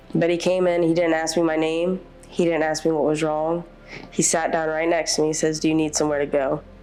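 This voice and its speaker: Over background music, a woman with a very deep, low pitch talks fairly quickly in a flat monotone, her loudness very even. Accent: American. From US South, Louisiana (Covington). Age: 30s. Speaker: shelter resident. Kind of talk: testimony. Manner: hesitant, with fillers.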